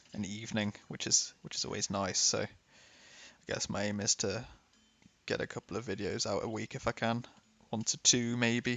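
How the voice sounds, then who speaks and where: A man with a British accent speaks at a moderate pace in a medium pitch. His intonation is fairly even, broken by long, frequent pauses. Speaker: gaming YouTuber. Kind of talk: casual gameplay commentary.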